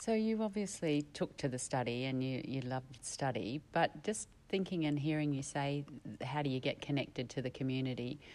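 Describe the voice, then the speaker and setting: An Australian accent colors this woman's very deep, low pitch. Her intonation is lively, and her pace is moderate. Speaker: podcast host. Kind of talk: interview.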